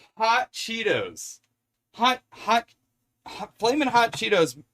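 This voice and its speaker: Loud and at a very slow pace, a man with a high pitch speaks in an American accent. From US Pacific Northwest. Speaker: streamer. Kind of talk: live stream cooking chat. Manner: animated.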